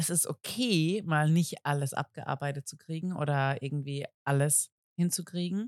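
Very deep and low for a woman, her voice comes through dry and close with no echo. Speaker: podcast co-host. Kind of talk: casual chat. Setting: outdoors at a summer spot, children audible.

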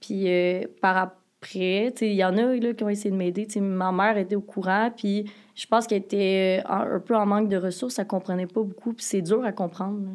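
Monotone and flat, a woman's medium-pitched voice moves at a moderate pace. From Quebec, Joliette. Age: 20s. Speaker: podcast guest, education student. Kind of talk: personal testimony in casual interview.

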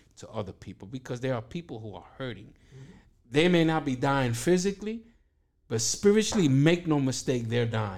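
A man with a New York accent speaks at medium pitch. His pitch swings very widely, and his loudness swings a lot too. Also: moderate pace. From Brooklyn, New York (East New York). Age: 50s. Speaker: pastor. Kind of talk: testimony.

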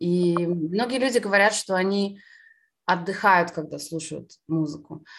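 A woman speaks fairly slowly in a normal speaking voice, fairly low in pitch with ordinary pitch variation. The recording is very clean, with a silent background. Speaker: concert pianist. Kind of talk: interview conversation.

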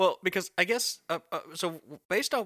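A man with an American accent speaks at a fairly slow pace in a bright, sharp tone, his pitch swinging very widely. The recording is very clean and silent behind him, with a dry, close sound and no echo. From US South. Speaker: podcast host. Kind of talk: casual chat.

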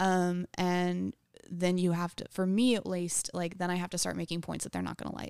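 On a very clean recording with a silent background, a woman speaks in a fairly low pitch with flat, monotone intonation. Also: moderate pace. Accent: American. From Texas, New Braunfels. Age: 20s. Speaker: stand-up comedian. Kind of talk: casual chat. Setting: studio.

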